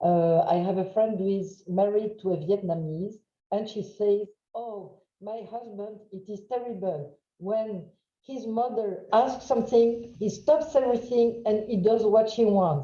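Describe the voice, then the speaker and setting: A woman with a French accent speaks in a fairly high voice, her tone dark and mellow, with ordinary pitch variation. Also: fairly slow pace, big swings in loudness. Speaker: trainer. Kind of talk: webinar lecture. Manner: loud.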